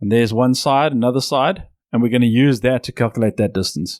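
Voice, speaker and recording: A man speaks at a medium pitch. The sound is dry and close with no echo, and the recording is very clean with a silent background. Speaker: programming teacher. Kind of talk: tutorial. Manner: fast.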